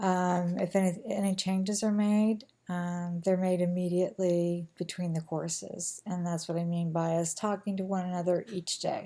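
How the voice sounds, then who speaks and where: Fairly low for a woman, a monotone, flat voice at a moderate pace with an American accent. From US Midwest, rural Kansas. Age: 50s. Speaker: nursing instructor. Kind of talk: recorded course introduction. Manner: frequent ums and fillers; casual, conversational.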